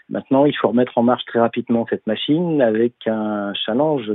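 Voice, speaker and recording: A normal speaking voice from a man, medium in pitch, with ordinary pitch variation. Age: 50s. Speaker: business development director. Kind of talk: interview.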